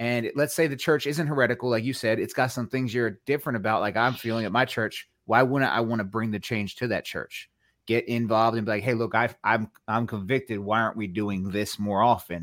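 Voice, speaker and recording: A man with an ordinary speaking voice talks fairly quickly at medium pitch, with ordinary pitch variation and hardly any pauses. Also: very clean recording, silent background. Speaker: street evangelist. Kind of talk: casual chat.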